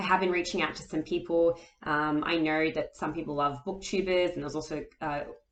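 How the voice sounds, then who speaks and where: Monotone, flat delivery from a woman with an Australian accent at a fairly quick pace. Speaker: author and booktuber. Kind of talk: casual vlog talk. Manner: hesitant, many fillers.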